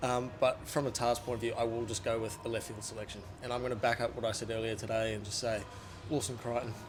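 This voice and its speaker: A man with a New Zealand accent speaks at a very fast pace in a monotone, flat delivery. Music plays in the background, and the room echo is audible. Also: medium pitch for a man. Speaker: rugby journalist. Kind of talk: casual chat. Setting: stadium media box. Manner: soft-spoken. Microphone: small handheld mic, held far.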